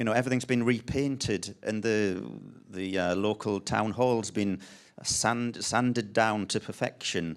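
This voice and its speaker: The recording is very clean, with a silent background. A man speaks at a fairly low pitch and a fairly slow pace. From northern England, Sunderland. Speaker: designer and artist. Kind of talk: panel talk presentation. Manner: halting, many ums and restarts.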